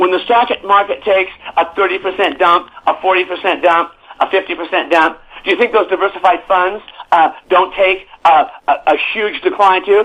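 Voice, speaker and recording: A man's high-pitched voice at a moderate pace, with very even loudness and fairly even intonation. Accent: American. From California. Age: 70s. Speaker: newsletter publisher and real estate analyst. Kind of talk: interview. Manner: halting with many repetitions.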